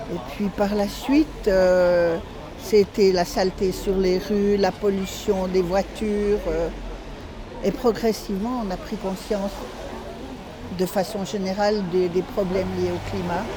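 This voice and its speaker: Over noticeable background noise, a woman speaks at a very slow pace and a medium pitch, with fairly even intonation and long, frequent pauses. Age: 70s. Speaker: climate activist. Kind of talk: interview. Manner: halting.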